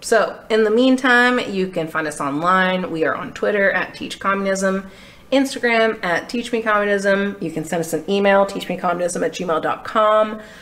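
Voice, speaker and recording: Against noticeable background noise, a woman with an American accent talks at a moderate pace and medium pitch, with ordinary pitch variation and hardly any pauses. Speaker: podcast co-host and student. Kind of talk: casual chat. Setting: in person studio recording.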